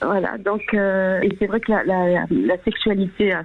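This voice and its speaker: A woman speaks at a medium pitch. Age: 60s. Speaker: caller sharing testimony. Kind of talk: testimony. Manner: halting.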